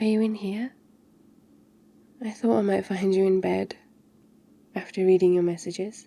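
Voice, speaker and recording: This woman speaks at a medium pitch with a British accent. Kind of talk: ASMR girlfriend roleplay. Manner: soft-spoken, caring.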